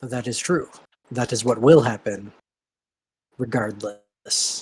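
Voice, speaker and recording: Put on as a character voice, the raspy delivery moves at a fairly slow pace with ordinary pitch variation. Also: man, medium pitch for a man. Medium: actual play. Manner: formal, commanding.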